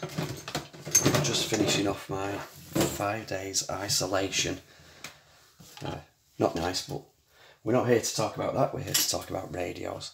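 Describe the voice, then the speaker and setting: A man at a fairly low pitch with ordinary pitch variation, speaking at a fairly slow pace with long, frequent pauses over noticeable background noise. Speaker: radio restoration hobbyist. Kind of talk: tutorial. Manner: casual, with frequent hesitations.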